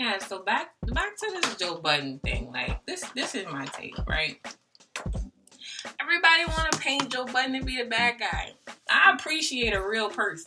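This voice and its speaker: A woman with an American accent, high in pitch and animated in tone, at a moderate pace with very wide pitch swings and music in the background. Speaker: beauty vlogger. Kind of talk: casual chat.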